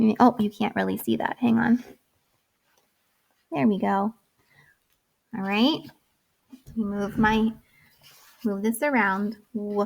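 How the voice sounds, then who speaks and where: A woman speaks at a fairly high pitch and a fairly slow pace, somewhat breathy, with ordinary pitch variation and long, frequent pauses. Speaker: kindergarten teacher. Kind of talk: online lesson tutorial for young children.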